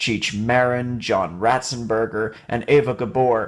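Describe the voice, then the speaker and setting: In an ordinary speaking voice, a man talks at a fairly slow pace with a medium pitch. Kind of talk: video essay narration.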